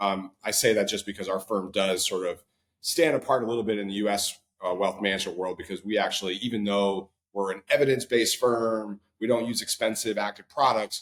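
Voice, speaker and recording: A man speaks at a fairly quick pace. His fairly low voice keeps a fairly even intonation. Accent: Midwestern US. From Ohio, US Midwest. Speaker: wealth management firm co-founder. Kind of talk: podcast interview. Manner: casual, many filler words.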